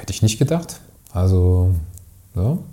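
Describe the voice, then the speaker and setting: Lively intonation from a somewhat breathy man at a moderate pace. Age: 40s. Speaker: agency owner, podcast co-host. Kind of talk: casual interview conversation.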